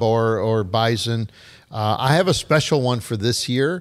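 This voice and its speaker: A man with an ordinary speaking voice talks at a fairly slow pace. His pitch is medium, with ordinary pitch variation. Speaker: podcast host. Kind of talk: casual podcast banter.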